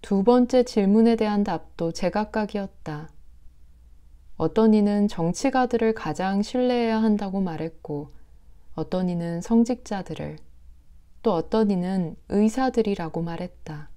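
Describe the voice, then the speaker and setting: Speaking at a very slow pace, a woman has a medium pitch, ordinary pitch variation and a dark, mellow tone. The recording is very clean, with a silent background. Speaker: audiobook reader, radio-style host. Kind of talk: literary narration of a short story. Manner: soft, calming.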